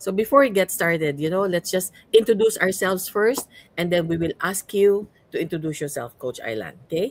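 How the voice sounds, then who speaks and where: A woman with a Cebuano accent talks fairly quickly at a medium pitch, her intonation lively. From Cebu, Philippines. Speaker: podcast host and coach. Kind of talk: podcast interview.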